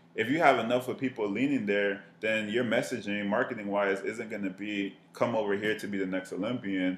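A man with an American accent speaks in a normal speaking voice at a fairly quick pace, with fairly even intonation and hardly any pauses. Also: fairly low pitch for a man. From Miami, Florida. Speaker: marketing professional. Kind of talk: casual chat.

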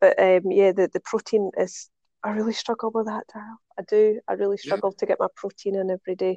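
A woman's dark, mellow tone in a Scottish accent, fairly quick and monotone, flat in intonation, with a dry, close sound and no echo. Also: medium pitch for a woman. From Scotland. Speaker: podcast guest.

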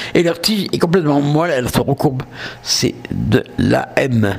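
A man with a southern French accent speaks against noticeable background noise. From southern France. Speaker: podcast host. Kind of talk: casual monologue. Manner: hesitant.

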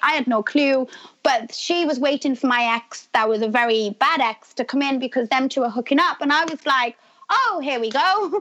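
A woman speaks with a British accent at a high pitch. Her pace is moderate and her pitch varies in an ordinary way. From UK. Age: 30s. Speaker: reality TV star. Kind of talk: casual interview.

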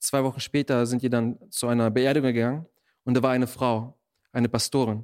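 At a moderate pace, a man speaks in a flat monotone at medium pitch, on a very clean recording with a silent background. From Germany, born in Russia. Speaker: missionary. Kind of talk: interview testimony.

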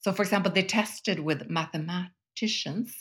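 A woman with a Swedish accent speaks at a moderate pace, somewhat breathy. The recording is very clean with a silent background. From Sweden. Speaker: business school professor and columnist. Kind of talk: casual interview conversation.

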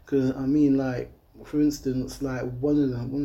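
An East Midlands accent at a fairly slow pace. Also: man. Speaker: youth charity founder. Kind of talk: casual interview. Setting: leisure centre.

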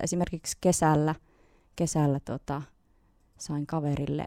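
A woman speaks in a very deep, low voice with a dark, mellow tone, slow-ish and in a flat monotone. The recording is dry, close and very clean, with no echo and a silent background. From Finland, Nilsiä (Northern Savo). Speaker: singer-songwriter. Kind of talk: radio interview.

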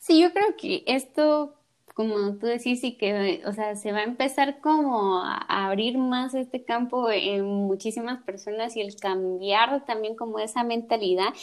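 A woman's normal speaking voice, fairly high in pitch with ordinary pitch variation, at a fairly slow pace with hardly any pauses. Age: 20s. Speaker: podcast host, architect. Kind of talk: casual interview chat.

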